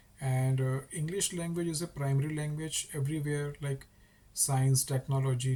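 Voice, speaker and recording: Speaking at a moderate pace with an Indian accent, a man has a fairly high, somewhat breathy voice of dark, mellow tone and monotone, flat intonation. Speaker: English teacher YouTuber. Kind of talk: casual talk to camera.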